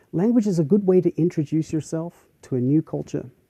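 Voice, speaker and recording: In an Australian accent, a man talks at a fairly quick pace with a fairly high pitch and a dark, mellow tone. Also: dry, close sound with no echo. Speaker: university professor. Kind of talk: lecture.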